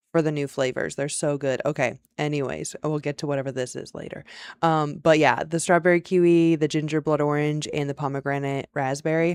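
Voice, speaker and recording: A woman speaks at a very deep, low pitch with an animated tone. Her pace is moderate, and the recording is very clean with a silent background. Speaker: livestream host teaching business process tools. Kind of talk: casual livestream tutorial.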